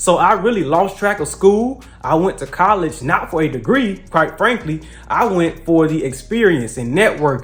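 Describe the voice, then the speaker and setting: The speaker talks with lively intonation in a Southern US accent. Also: man, high pitch for a man, moderate pace. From US South (Mississippi). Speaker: political commentary youtuber. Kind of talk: casual vlog monologue. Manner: halting, many fillers.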